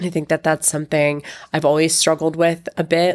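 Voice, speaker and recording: A woman speaks at a moderate pace in a very deep, low voice. Her intonation is monotone and flat. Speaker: podcast host and fitness instructor. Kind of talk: solo monologue podcast. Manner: chatty.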